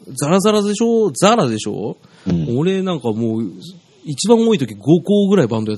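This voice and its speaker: Moving at a fairly quick pace, a man with a fairly high pitch speaks with very wide pitch swings. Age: 30s. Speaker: music producer and former visual-kei band member. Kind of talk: casual chat.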